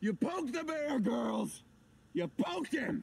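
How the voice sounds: Putting on a character voice, a man talks at a slow pace in an extremely high pitch, with big pitch swings, vocal fry, a slightly husky edge and a slightly mellow tone.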